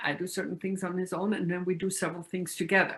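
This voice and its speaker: With a bright, sharp tone, a woman talks at a fairly low pitch. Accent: German. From Austria. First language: German. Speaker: retired university staff and spiritual lecturer. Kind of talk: interview. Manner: halting, many fillers.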